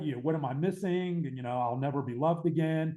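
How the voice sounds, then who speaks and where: A fairly high-pitched man with an American accent and a dark, mellow tone, at a fairly quick pace. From Pittsburgh, Pennsylvania, US. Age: 60s. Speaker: author and addiction recovery advocate. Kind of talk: podcast interview.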